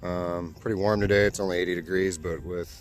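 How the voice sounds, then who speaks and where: Music plays in the background as a man speaks. His pitch is very deep and low, and his intonation fairly even. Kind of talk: casual vlog narration to camera. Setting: outdoors. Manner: monotone, low-energy.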